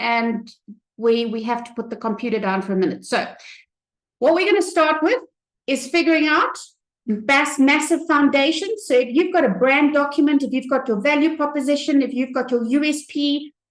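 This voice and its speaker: Her voice high in pitch, a woman speaks at a moderate pace with ordinary pitch variation. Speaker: business trainer. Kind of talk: live tutorial. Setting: live webinar with camera. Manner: hesitant fillers.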